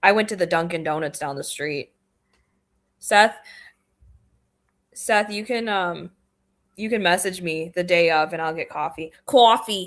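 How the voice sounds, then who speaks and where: Speaking in a central Michigan accent, a woman talks at a fairly slow pace with long, frequent pauses and ordinary pitch variation. Her pitch is fairly low, and the recording is very clean with a silent background. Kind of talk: casual chat.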